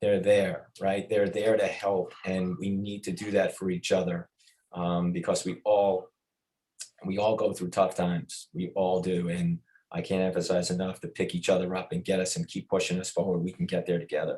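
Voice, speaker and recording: A man talks with a Long Island accent. His pace is moderate. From Long Island, New York. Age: 50s. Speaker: athletics administrator. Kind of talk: podcast interview.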